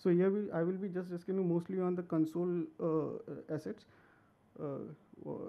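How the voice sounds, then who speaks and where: With long, frequent pauses, a high-pitched man speaks at a moderate pace and with fairly even intonation. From India. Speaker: game art director; conference presenter. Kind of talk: conference talk. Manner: halting, many fillers. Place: hall. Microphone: podium.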